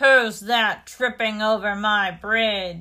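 A woman bellows in a put-on character voice, fairly high in pitch. Her pace is very slow. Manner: roaring, mean.

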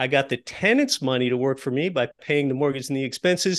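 The background is quiet. A man speaks with an American accent. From Appalachian Pennsylvania. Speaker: real estate investor and podcast host. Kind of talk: interview.

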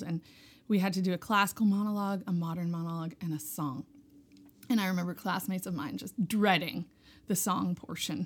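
Using a normal speaking voice, a woman talks at a moderate pace and fairly low pitch with fairly even intonation, on a very clean recording with a silent background. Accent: American. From Hudson Valley, New York. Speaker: musician, fiddler and singer. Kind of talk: casual interview chat. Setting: festival interview.

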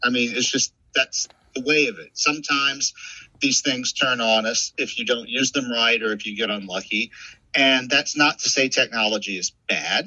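With an American accent, a man of medium pitch speaks at a moderate pace with ordinary pitch variation. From New Orleans, Louisiana. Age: 50s. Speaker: author. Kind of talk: casual chat.

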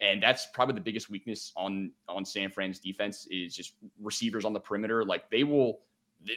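A bright, sharp tone with a Philadelphia accent, ordinary pitch variation and a fairly quick pace. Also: man. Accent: Philadelphia (Delco). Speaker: sports betting analyst. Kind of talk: casual chat. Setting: video call.

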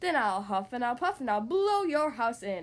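Bellowing in a put-on character voice, a woman speaks at a moderate pace with a high pitch and very wide pitch swings. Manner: roaring, menacing.

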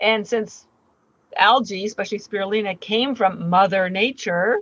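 A woman speaks in a medium pitch at a moderate pace with ordinary pitch variation, in a dry, close sound with no echo. It is an ordinary speaking voice. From Canada. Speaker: company founder. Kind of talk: interview.

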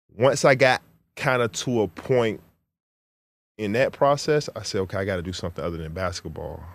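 On a very clean recording with a silent background, a man with a fairly low pitch uses lively intonation and long, frequent pauses. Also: fairly quick pace, big swings in loudness. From Virginia, US (Chesapeake). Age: 30s. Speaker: professional basketball player and rapper. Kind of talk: casual interview.

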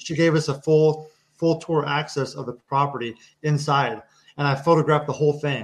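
A man with an American accent speaks at a moderate pace in a fairly high, somewhat breathy voice with flat, monotone intonation. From Kansas. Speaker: war veteran. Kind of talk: casual chat.

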